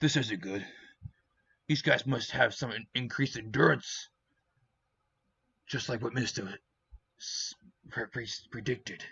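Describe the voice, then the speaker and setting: A man in a put-on character voice sounds raspy at medium pitch, with ordinary pitch variation, a moderate pace and long, frequent pauses. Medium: read story. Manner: casual, quippy.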